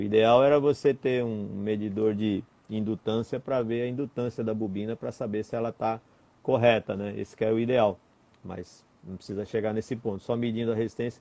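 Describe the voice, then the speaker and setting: Speaking at a moderate pace, a man has a medium pitch and a dark, mellow tone. His intonation stays fairly even. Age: 50s. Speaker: electronics instructor. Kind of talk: technical Q&A lesson. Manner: hesitant, repeats words.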